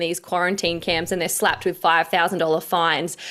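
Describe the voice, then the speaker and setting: A woman talks with an Australian accent. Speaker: political commentator. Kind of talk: interview. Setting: video call.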